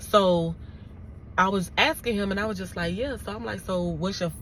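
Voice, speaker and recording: A woman talks in an animated tone at a moderate pace. Audible room echo surrounds her voice. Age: 30s. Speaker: YouTuber and correctional officer. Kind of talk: storytime vlog.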